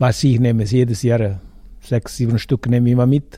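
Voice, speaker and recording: A man with an Italian accent talks at a fairly quick pace. His medium-pitched voice is somewhat breathy, with a dark, mellow tone. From Italy. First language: Italian (speaking German). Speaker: food vendor. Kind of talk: casual interview. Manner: halting.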